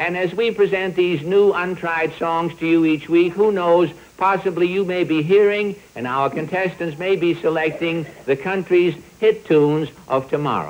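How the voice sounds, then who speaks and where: With noticeable background noise behind him, a man talks at a moderate pace in a high pitch with fairly even intonation. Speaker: comedian, show host. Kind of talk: comic monologue.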